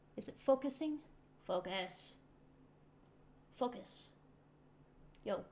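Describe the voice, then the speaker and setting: A soft-spoken woman talks very slowly with long, frequent pauses. Her high voice has lively intonation. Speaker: hobby painter. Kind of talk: tutorial. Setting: home hobby desk. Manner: halting.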